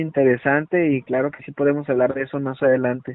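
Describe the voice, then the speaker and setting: This man's pitch is fairly high. He keeps to a moderate pace. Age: 30s. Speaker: clinical psychologist. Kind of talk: interview.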